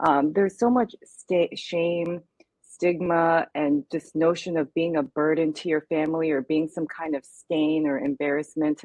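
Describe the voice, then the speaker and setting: A woman speaks with a Californian accent and a very deep, low pitch. Her pace is moderate. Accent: General American, California. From US West Coast, Los Angeles. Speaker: eating disorder survivor, advocate. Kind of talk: testimony.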